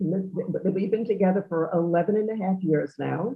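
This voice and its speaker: A woman speaks in a New York accent. Her pitch is medium, with ordinary variation. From New York, Long Island (Great Neck). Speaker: socialite and charity event regular. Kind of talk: interview.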